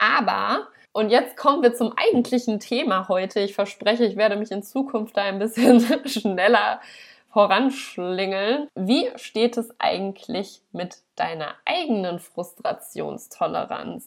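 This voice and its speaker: At a very slow pace, a woman talks in a fairly high voice with ordinary pitch variation. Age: 30s. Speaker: dog trainer in training, guest podcast host. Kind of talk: solo podcast talk. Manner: casual, conversational.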